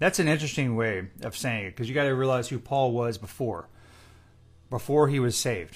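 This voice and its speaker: In a very clean recording with a silent background, a man with a medium-pitched, somewhat breathy voice talks at a moderate pace with lively intonation. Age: 40s. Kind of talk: Bible study chat. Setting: Instagram Live session. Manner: casual, with fillers.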